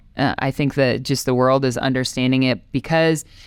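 The speaker has an Upper Midwest accent and fairly even intonation. The recording is very clean, with a silent background. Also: woman. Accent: Upper Midwest (Minnesota). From Minnesota, New Ulm. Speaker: softball tournament director, former pitcher. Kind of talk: interview.

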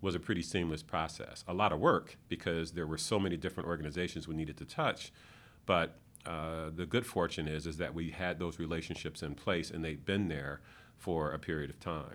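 A man with an American accent speaks at a very deep, low pitch and a fairly quick pace, with fairly even intonation. The recording is very clean, with a silent background. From Michigan. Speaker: economic development executive. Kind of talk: interview. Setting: office.

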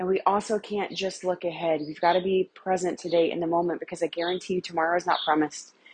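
A warm, fairly low female voice at a very fast pace with monotone, flat intonation. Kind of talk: pep talk. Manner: warm, earnest and encouraging, speaking straight to the listener; heartfelt and emphatic, repeating key phrases for emphasis.

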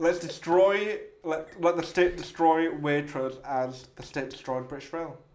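The speaker goes at a fairly slow pace with big swings in loudness. Noticeable background noise sits behind the voice. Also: man, fairly high pitch for a man. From Hull, England. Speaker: podcast host. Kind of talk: casual chat. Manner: animated, joking.

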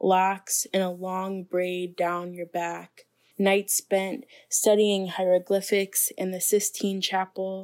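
In a very clean recording with a silent background, a woman speaks very slowly with an American accent and monotone, flat intonation. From Chicago, US Midwest. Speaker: poet. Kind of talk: poem reading.

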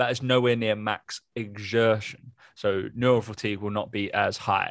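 Fairly slow, fairly low-pitched speech from a man with an English accent and fairly even intonation. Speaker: fitness podcast co-host and personal trainer. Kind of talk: casual chat.

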